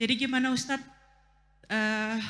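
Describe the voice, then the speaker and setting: A woman speaks in a flat monotone while music plays in the background. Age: young. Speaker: audience member asking a question. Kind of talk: Q&A question at religious talk. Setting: mosque gathering. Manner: halting, many fillers.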